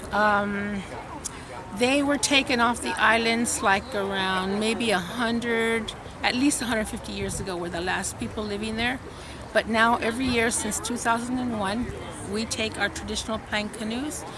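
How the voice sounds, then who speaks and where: A woman with a fairly high pitch speaks in fairly even intonation over noticeable background noise. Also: moderate pace. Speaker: professor. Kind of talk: interview answer. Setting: outdoors.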